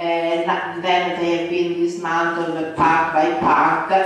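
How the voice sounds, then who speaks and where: Strong room echo surrounds the voice. A woman speaks at a fairly low pitch. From Italy (Milan). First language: Italian. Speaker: urban planning professor. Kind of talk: lecture. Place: hall.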